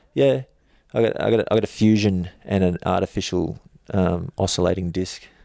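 A man's very deep, low voice in an Australian accent, with ordinary pitch variation and a dry, close sound with no echo. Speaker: stuntman. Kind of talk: casual chat.

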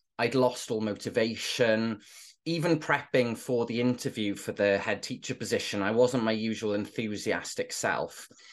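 Against a quiet background, a man with a Welsh accent speaks at a moderate pace in a medium pitch with fairly even intonation. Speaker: former teacher and inclusion trainer. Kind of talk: interview conversation.

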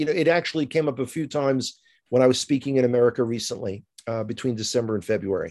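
Lively in intonation and very fast, the man's speech comes through over a quiet background. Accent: New York. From US, New York (Bronx). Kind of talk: interview conversation. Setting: remote call.

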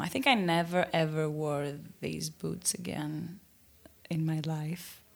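With a Greek accent, a woman of fairly low pitch speaks at a very slow pace. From Greece, Athens. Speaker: listener caller. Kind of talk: recorded voicemail story.

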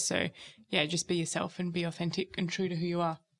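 On a very clean recording with a silent background, a woman with an Australian accent talks at a very fast pace in a fairly low pitch with monotone, flat intonation. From Perth, Western Australia. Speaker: graduate recruiter. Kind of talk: casual chat.

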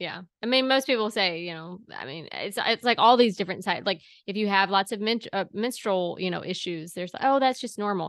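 A woman with an ordinary speaking voice and medium pitch talks at a fairly quick pace with ordinary pitch variation. Her loudness swings widely against a quiet background. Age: 30s. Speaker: podcast host. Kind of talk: casual chat.

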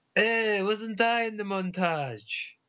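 Putting on a character voice, a man talks slowly at a high pitch, with a bright, sharp tone and ordinary pitch variation.

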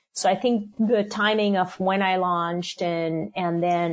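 A woman's fairly low, fairly slow voice with ordinary pitch variation, a plain, everyday voice. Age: 50s. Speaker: food company CEO. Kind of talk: interview.

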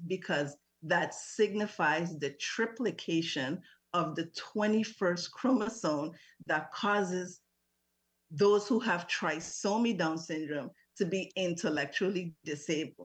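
A woman's fairly low voice at a very slow pace, with ordinary pitch variation against a quiet background. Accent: Virgin Islands. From US Virgin Islands, St. Thomas. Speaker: parent advocate. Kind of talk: radio interview.

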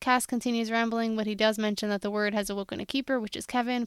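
Very fast speech with fairly even intonation comes through on a very clean recording with a silent background. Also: woman. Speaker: podcast co-host. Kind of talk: casual chat. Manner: fast talker.

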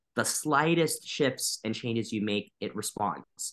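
Here a man speaks in a plain, everyday voice at medium pitch, with ordinary pitch variation and a moderate pace. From US Midwest, Wisconsin. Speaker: violinist. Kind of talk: interview.

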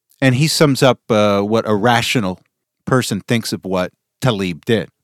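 This is a man with a normal speaking voice at medium pitch. His intonation is lively, and the sound is dry and close with no echo. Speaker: podcast host. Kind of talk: political news commentary. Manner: opinionated, pointed.

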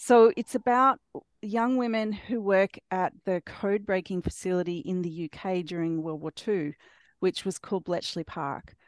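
With an Australian accent, a woman speaks fairly slowly with ordinary pitch variation, the sound dry and close with no echo. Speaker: author. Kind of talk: casual interview chat. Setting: video call.

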